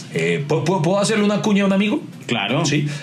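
Over noticeable background noise and audible room echo, a man speaks at a very fast pace in an animated tone. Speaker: podcast co-host. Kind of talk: casual chat.

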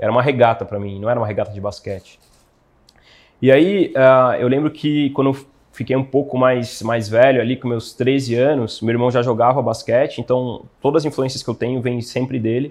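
At a moderate pace, a man speaks in a plain, everyday voice, medium in pitch with fairly even intonation. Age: 20s. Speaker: physiotherapist. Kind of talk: interview. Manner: casual, slangy.

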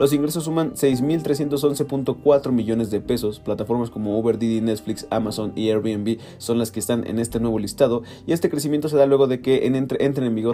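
With music in the background, a man in a Mexican accent talks at a medium pitch with ordinary pitch variation. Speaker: news podcaster. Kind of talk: news reading; casual chat.

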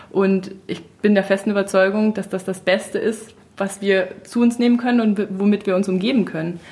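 Speech comes at a moderate pace. Its intonation stays monotone and flat. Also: woman, medium pitch for a woman. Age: 30s. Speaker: natural cosmetics entrepreneur. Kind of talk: casual chat.

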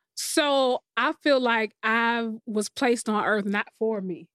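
The recording is very clean with a silent background and a dry, close sound with no echo, carrying a woman's fairly high pitch. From Columbia, South Carolina (US South). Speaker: musician and entrepreneur. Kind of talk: casual interview.

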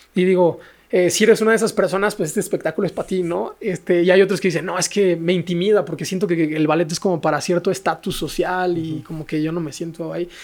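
A man with a Mexican accent and a high pitch, very fast with hardly any pauses and fairly even intonation. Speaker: ballet dancer and social entrepreneur. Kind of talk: casual interview chat.

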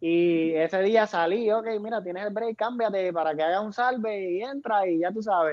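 A man's high-pitched voice at a moderate pace. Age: 20s. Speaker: professional wrestler. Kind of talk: interview.

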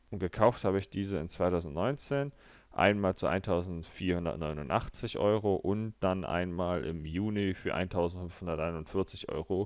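A man speaks very slowly in a very deep, low voice with ordinary pitch variation, on a very clean recording with a silent background. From Berlin, Germany. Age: 20s. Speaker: finance podcaster. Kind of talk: solo finance monologue.

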